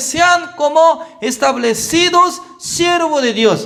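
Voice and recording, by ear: A slow pace and a bright, sharp tone. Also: man.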